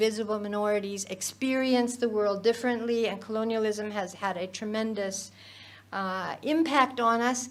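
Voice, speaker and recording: A woman speaks at a fairly high pitch with ordinary pitch variation. Audible room echo surrounds her voice. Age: 70s. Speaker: professor of child psychiatry. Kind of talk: conference lecture. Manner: halting, many fillers and restarts.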